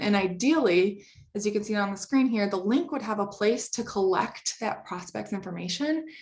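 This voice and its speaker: An ordinary speaking voice from a woman, medium in pitch, at a moderate pace. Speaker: company presenter. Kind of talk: webinar presentation.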